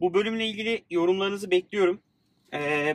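A man at a moderate pace, ordinary pitch variation, his sound dry and close with no echo. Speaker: podcast host and startup founder. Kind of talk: casual chat. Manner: informal, friendly.

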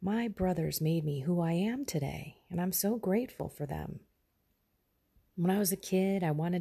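A quiet, somewhat breathy woman's voice at a fairly low pitch, with ordinary pitch variation and a moderate pace, in a very clean recording with a silent background. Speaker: faith podcaster. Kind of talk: devotional reflection. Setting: at home, early morning.

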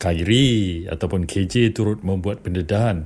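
A man's very deep, low voice at a fairly slow pace, with fairly even intonation. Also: very clean recording, silent background. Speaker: journalist, head of a news video unit. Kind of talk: political news analysis on radio.

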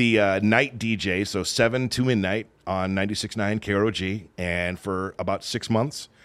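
In a Californian accent, a man with a fairly low pitch talks at a very slow pace with fairly even intonation and hardly any pauses. The recording is very clean and the background silent. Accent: General American (Californian). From Southern California. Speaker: radio DJ and podcaster. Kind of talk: casual chat. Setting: studio.

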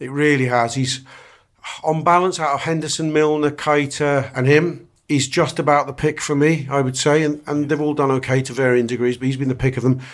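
A man's fairly quick, fairly high-pitched speech in a monotone, flat intonation. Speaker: football fan pundit. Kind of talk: casual chat.

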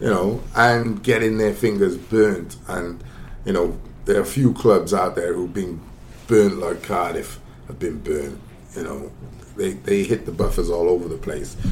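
A man speaks with a Welsh accent at a fairly slow pace. His pitch is fairly low, with ordinary variation. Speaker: football pundit. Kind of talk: casual football discussion.

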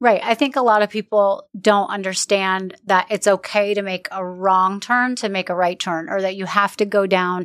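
A woman with an unremarkable speaking voice at medium pitch, fairly even intonation and a moderate pace, in a very clean, dry, close recording with no echo and a silent background. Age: 40s. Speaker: podcast host. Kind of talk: interview.

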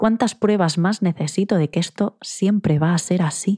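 A woman speaks at a medium pitch and moderate pace, somewhat breathy, with a dark, mellow tone. Her pitch varies in an ordinary way, and the sound is dry and close with no echo. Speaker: psychologist and podcast host. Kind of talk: solo advice monologue. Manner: direct.

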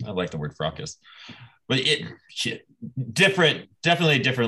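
With an American accent and vocal fry, a man talks at a fairly quick pace and a fairly low pitch, his pitch swinging very widely. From US Midwest, Nebraska. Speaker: podcast host. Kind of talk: casual chat.

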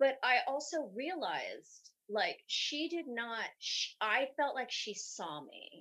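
Raising and projecting her high, bright, sharp voice, a woman speaks at a very slow pace with hardly any pauses, very wide pitch swings and big swings in loudness. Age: 50s. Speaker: professional dancer. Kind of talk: casual chat.

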